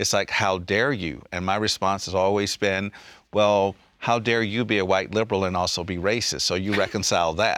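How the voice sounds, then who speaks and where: This man has a plain, everyday voice, fairly low in pitch, with fairly even intonation at a moderate pace. The recording is very clean, with a silent background. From US South. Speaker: politician. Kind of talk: panel discussion.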